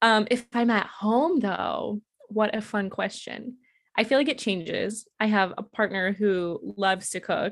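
At a fairly slow pace and with ordinary pitch variation, this is a normal speaking voice. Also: woman, fairly high pitch for a woman. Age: 20s. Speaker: nonprofit operations coordinator. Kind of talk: casual chat.

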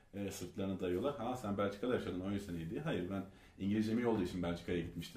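This man talks at a very fast pace with a fairly low pitch and fairly even intonation. Audible room echo surrounds his voice. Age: 30s. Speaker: author and entrepreneur. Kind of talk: interview.

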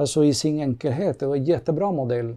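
Over a quiet background, a man with a Spanish accent talks in a dark, mellow tone with ordinary pitch variation. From Cuba. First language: Spanish (speaking Swedish). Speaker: manager. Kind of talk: casual chat.

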